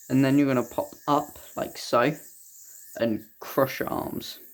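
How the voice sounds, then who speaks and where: The voice is quiet. Its intonation stays fairly even. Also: man. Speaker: yoyo tutorial creator. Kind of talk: tutorial.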